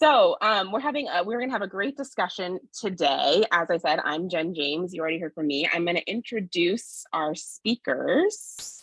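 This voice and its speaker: A woman speaks at a medium pitch with lively intonation and hardly any pauses. The sound is dry and close, with no echo. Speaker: sociologist and forum moderator. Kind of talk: community forum moderation. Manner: fast.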